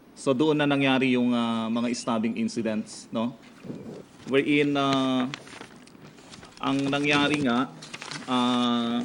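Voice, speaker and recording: The voice moves at a very slow pace with fairly even intonation and long, frequent pauses. Audible room echo and noticeable background noise accompany it. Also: man, medium pitch for a man. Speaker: prison bureau spokesperson. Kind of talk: press conference briefing. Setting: press conference. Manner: loud; hesitant, many fillers.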